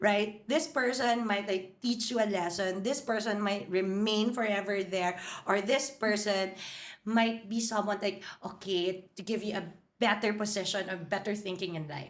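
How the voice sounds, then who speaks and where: A woman speaks at a moderate pace with a medium pitch. Her tone is animated, and room echo is audible. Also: ordinary pitch variation. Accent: Filipino. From Philippines, Manila. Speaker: hotel marketing executive. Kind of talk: podcast interview.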